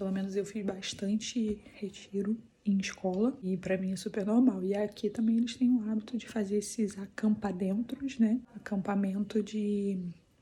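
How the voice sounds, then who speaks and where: A woman talks with hardly any pauses. Her intonation is flat and monotone. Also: medium pitch for a woman, moderate pace. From Brazil, Petrópolis, Rio de Janeiro. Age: 30s. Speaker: family vlogger. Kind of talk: casual vlog. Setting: school building at a church camp. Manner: speaking softly.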